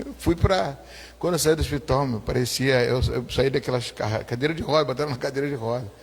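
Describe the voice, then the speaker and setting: A man speaks at a fairly quick pace in a medium pitch, with vocal fry running through his voice. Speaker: pastor. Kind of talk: testimony. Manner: animated.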